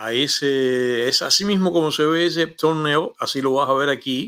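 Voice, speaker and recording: This is a man with an ordinary speaking voice. His pitch varies in an ordinary way. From Cuba. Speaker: YouTube show host, former radio host. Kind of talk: casual monologue to camera. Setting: home studio.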